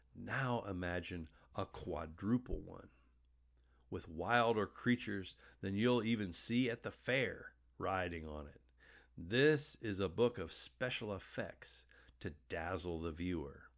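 A man with an unremarkable speaking voice talks fairly slowly at a fairly low pitch, his intonation lively. The recording is very clean, with a silent background. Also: big swings in loudness. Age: 50s. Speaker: pastor. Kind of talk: sermon.

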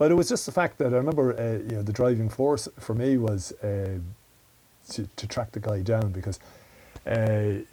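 A man's fairly low, dark and mellow voice in an Irish Midlands accent, somewhat breathy and at a fairly quick pace. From Ireland, County Westmeath. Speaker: security and defence analyst, former soldier. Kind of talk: interview.

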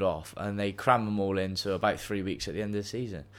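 With a Bristol accent, a man with a fairly low pitch speaks at a very fast pace. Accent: West Country English (Bristolian). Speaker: podcast co-host. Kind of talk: casual chat between friends. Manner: chatty and laughing often.

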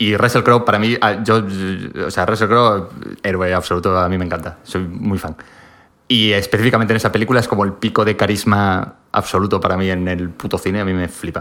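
Bright and sharp in tone, a man's fairly low voice moves at a fairly quick pace with fairly even intonation. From Spain, Galicia (Pontevedra). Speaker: podcast guest. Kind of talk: casual chat.

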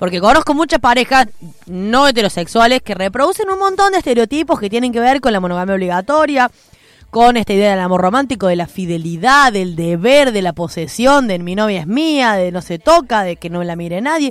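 A woman talks at a fairly quick pace in a fairly high pitch, with very wide pitch swings. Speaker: radio host. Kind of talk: casual chat. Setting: studio.

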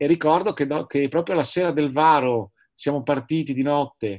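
A man with an ordinary speaking voice, fairly high in pitch with ordinary pitch variation, at a fairly quick pace on a very clean recording with a silent background. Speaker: sailor and entrepreneur, paraplegic wheelchair user. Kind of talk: interview.

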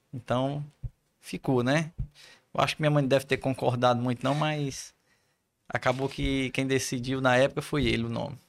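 A man talks in a monotone, flat intonation, leaving long, frequent pauses. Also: medium pitch for a man, moderate pace, very clean recording, silent background. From Ceará, Brazil (Poeiras, interior). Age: 40s. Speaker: physiotherapist, head of professional council. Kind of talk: casual interview.

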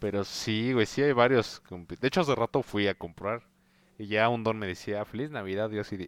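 On a very clean recording with a silent background, a man speaks at a moderate pace. His pitch varies in an ordinary way. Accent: Mexican. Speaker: podcast co-host. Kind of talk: casual chat.

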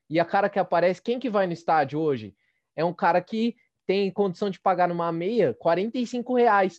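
A man with a high-pitched voice speaks at a moderate pace with lively intonation, in a dry, close sound with no echo against a quiet background. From East Zone of São Paulo, Brazil. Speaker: podcast host. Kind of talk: casual chat.

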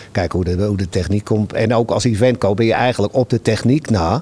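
An unremarkable speaking voice from a man, fairly low in pitch, with fairly even intonation. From Netherlands, Amsterdam-Noord. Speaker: venue volunteer host. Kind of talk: casual interview chat.

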